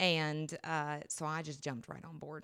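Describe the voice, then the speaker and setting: A woman with a North Carolina accent and a very deep, low pitch at a moderate pace, on a very clean recording with a silent background. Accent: Southern US (North Carolina). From US South, western North Carolina. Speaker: middle school teacher. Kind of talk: casual interview.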